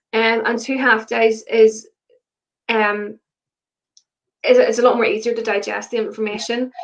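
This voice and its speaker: Her fairly high voice stays in a monotone, flat intonation, and the woman leaves long, frequent pauses. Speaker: marketing consultant. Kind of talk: interview conversation. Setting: video call livestream. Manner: fast.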